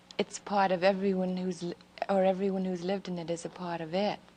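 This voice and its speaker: A woman at a medium pitch keeps a moderate pace, noticeable background noise behind her. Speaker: First Lady being interviewed. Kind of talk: interview answer. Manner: soft-spoken, gentle.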